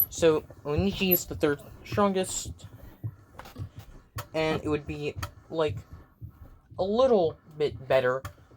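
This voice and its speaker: The speech comes at a fairly slow pace, broken by long, frequent pauses. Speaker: fan fiction storyteller. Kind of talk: casual improvised storytelling. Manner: halting, many fillers.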